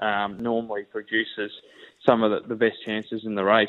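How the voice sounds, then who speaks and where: A man speaks with an Australian accent. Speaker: racing analyst. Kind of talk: radio interview.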